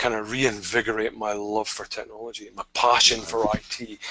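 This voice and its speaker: A man speaks with a Scottish accent at a moderate pace. The background stays quiet. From Scotland. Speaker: technology strategist. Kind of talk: webinar interview. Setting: online webinar.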